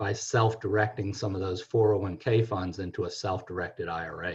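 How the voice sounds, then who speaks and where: Over a quiet background, a man speaks at a moderate pace in a somewhat breathy, fairly low voice. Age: 60s. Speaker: financial planner. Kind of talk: radio talk show.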